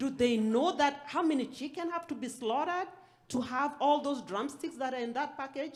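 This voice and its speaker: This woman speaks in a high pitch with a non-native accent, ordinary pitch variation, and a moderate pace. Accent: foreign. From outside the US. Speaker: aspiring farmer, panelist. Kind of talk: panel discussion.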